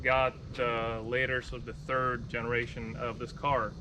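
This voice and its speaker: A man is speaking with audible room echo. Noticeable background noise runs behind him. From Moldova. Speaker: car videographer and YouTuber. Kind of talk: interview conversation.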